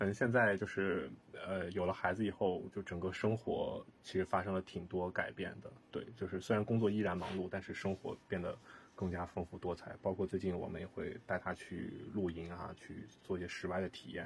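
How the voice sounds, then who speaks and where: This man's voice sits very deep and low and comes out somewhat breathy. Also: fairly even intonation, moderate pace. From northern China. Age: 30s. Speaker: real estate project manager. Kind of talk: casual chat.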